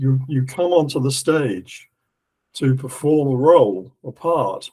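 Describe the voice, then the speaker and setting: A man talks at a very slow pace with a fairly high pitch. His dark, mellow tone is somewhat breathy. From England. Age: 70s. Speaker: esoteric lecturer. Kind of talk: lecture. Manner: halting.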